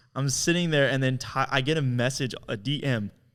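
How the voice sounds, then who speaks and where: Recorded very cleanly against a silent background, a man with a medium pitch talks in an animated tone at a moderate pace with ordinary pitch variation. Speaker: podcast co-host, videographer. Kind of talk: casual chat. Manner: loud.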